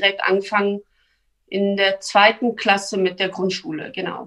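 A woman's medium-pitched voice moves at a fairly slow speed, its intonation fairly even. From born in Turkey, grew up in Lower Saxony, Germany. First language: Turkish and Kurdish (speaking German). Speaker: member of parliament. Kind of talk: interview. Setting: video call. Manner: hesitant with fillers.

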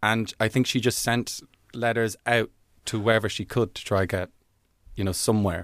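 With an Irish accent, a man speaks at a moderate pace and medium pitch, his intonation fairly even, leaving long, frequent pauses in a very clean recording with a silent background. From Ireland, Dublin. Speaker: comedian. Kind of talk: casual chat.

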